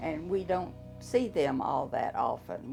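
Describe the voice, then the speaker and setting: A woman speaks with an American accent at a very slow pace. Music plays in the background. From Texas. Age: 80s+. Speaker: retired orthopedic technologist. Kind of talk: interview.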